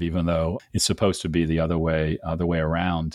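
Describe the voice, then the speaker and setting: A man speaks with an American accent. The recording is very clean, with a silent background. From Cleveland, Ohio, US. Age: 60s. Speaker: business coach and podcast host. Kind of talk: interview podcast.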